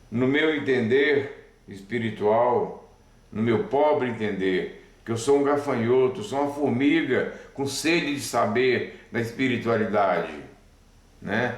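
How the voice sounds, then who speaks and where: In a room with audible echo, a man of medium pitch speaks very slowly with ordinary pitch variation. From Brazil, Belo Horizonte (Minas Gerais). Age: 60s. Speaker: spiritist speaker. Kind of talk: spiritual talk to camera. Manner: halting, with restarts.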